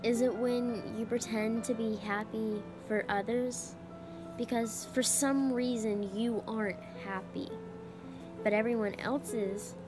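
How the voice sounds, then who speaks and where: A woman talks very slowly. Behind her, music is playing. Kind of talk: spoken word poetry performance.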